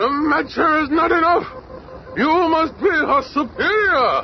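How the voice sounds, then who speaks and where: With clear music in the background, a man uses a put-on character voice at an extremely high pitch, talking at a fairly slow pace. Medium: old radio play. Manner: imperious, regal.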